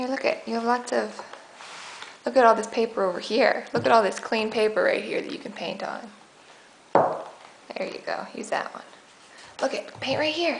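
The speech moves at a fairly slow pace over light background noise. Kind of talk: gentle coaxing talk to a toddler. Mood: warm, encouraging, patient. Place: kitchen. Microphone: phone near.

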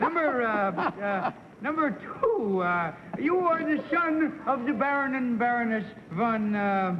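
Over noticeable background noise, a man speaks at an extremely high pitch and a very slow pace. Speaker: panelist. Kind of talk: game show questioning, joking. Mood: playful, laughing. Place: studio.

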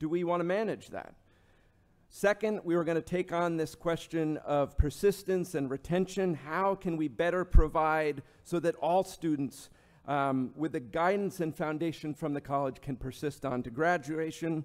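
A man at a moderate pace, ordinary pitch variation, and a quiet background. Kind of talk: formal speech. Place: hall.

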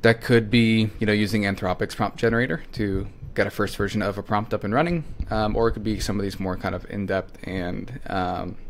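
This man has a fairly low pitch and ordinary pitch variation. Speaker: presenter. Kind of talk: tutorial. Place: home room.

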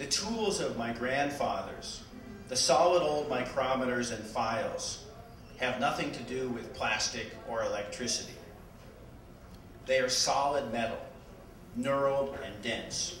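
Music plays in the background as a man talks fairly slowly with ordinary pitch variation, long, frequent pauses and audible room echo. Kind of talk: public reading from a book. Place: shop.

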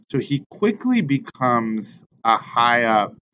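A man speaks while noticeable background noise can be heard. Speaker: bible study teacher. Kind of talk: casual bible lesson talk. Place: office.

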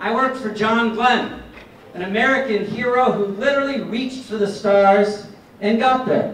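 Amid light background noise and audible room echo, a man with a high pitch speaks at a moderate pace with fairly even intonation. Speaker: candidate for governor; candidate. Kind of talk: campaign speech. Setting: stage with audience. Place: hall.

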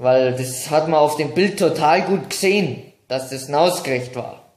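Ordinary pitch variation marks a man's moderate-paced speech, with audible room echo. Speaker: vlogger. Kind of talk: casual vlog chat, storytelling. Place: home room. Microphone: phone near.

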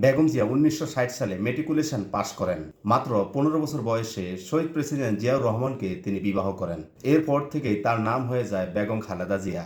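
A man with a medium-pitched voice and lively intonation talks over audible room echo. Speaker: online video narrator. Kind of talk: memorial tribute monologue.

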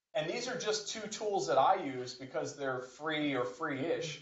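Over noticeable background noise, a man talks fairly slowly at a fairly high pitch. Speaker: university professor giving workshop. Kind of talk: workshop presentation. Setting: stage with audience. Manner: loud.

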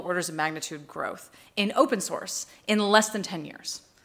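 A woman with an American accent speaks in a bright, sharp tone. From United States. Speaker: tech executive and keynote speaker; keynote speaker. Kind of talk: conference keynote. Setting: stage with audience. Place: hall. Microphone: podium.

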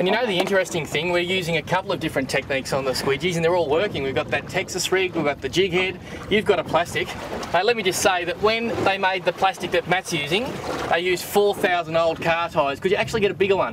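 A man with a high pitch and ordinary pitch variation talks at a very fast pace, the sound dry with no echo but with noticeable background noise. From Australia. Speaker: fishing TV presenter; TV presenter. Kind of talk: casual banter while fishing. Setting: outdoors on a boat. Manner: animated. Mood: jokey, upbeat. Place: boat.

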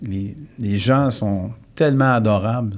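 A man's voice with ordinary pitch variation. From Quebec. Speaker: real estate consultant, former lawyer; former lawyer. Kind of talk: casual interview. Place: studio. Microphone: studio mic.

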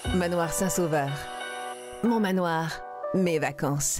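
Music plays in the background as a woman speaks at a very slow pace. Her fairly low pitch moves with lively intonation. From Quebec. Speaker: voice actor. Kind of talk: TV commercial read.

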